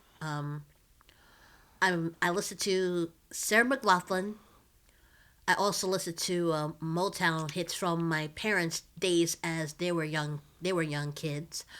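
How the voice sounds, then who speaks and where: A woman talks at a very slow pace with long, frequent pauses, her pitch fairly low and her intonation fairly even. The recording is very clean, with a silent background. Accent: American. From Philadelphia. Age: 30s. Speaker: nonprofit IT worker and activist. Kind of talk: casual interview chat.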